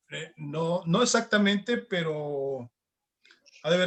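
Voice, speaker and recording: The delivery is very slow, with lively intonation. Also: man. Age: 60s. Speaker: martial arts master. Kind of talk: interview.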